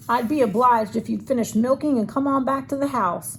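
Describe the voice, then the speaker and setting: Putting on a gruff, high-pitched character voice, a woman talks at a fairly quick pace over clear background noise. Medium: read story. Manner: gruff, stern.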